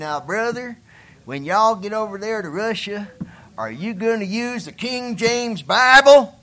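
A man puts on a character voice, high in pitch, raised and projected. He drawls at a moderate pace.

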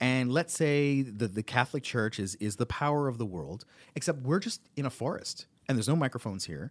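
An unremarkable speaking voice moves at a fairly quick pace with lively intonation, in a very clean recording with a silent background and a dry, close sound with no echo. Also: man, medium pitch for a man. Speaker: comedian and voice actor. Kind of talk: casual chat.

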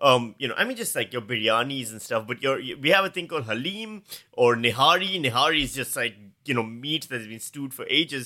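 A man talks at a very fast pace with a fairly high pitch. His bright, sharp tone has very wide pitch swings. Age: 40s. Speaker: comedian. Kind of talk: casual chat.

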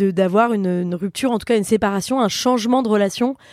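A woman speaks at a moderate pace in an ordinary speaking voice, her fairly high pitch showing ordinary pitch variation. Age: 30s. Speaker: comedian. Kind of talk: casual chat.

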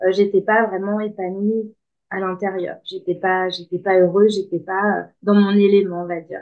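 A woman speaks at a fairly slow pace. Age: 30s. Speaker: life coach. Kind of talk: interview. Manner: hesitant, many filler words.

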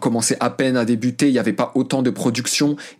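Speaking at a medium pitch, a man delivers his words in a monotone, flat intonation. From France, of Moroccan parents. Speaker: journalist and podcaster. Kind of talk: interview. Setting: remote call. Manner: hesitant, many fillers.

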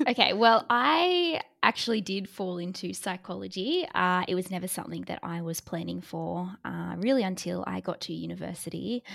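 Over a silent background on a very clean recording, a woman with an Australian accent talks at a moderate pace with hardly any pauses. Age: 20s. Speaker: psychologist. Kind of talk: interview.

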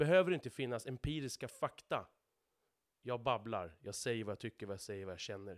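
Medium pitch and ordinary pitch variation in a man's voice, an ordinary speaking voice. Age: 30s. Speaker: podcast host, truck driver. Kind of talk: solo monologue podcast. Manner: repeats words, stumbles.

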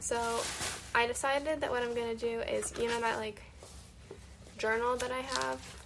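Amid noticeable background noise and audible room echo, a woman with a fairly high pitch speaks in a monotone, flat intonation at a moderate pace with long, frequent pauses. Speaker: personal podcaster recording for partner. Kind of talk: casual monologue.

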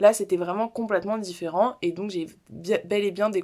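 A woman speaks at a moderate pace with fairly even intonation and a medium pitch, on a very clean recording with a silent background. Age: 20s. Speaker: podcaster. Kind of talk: personal monologue. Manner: casual, hesitant with fillers.

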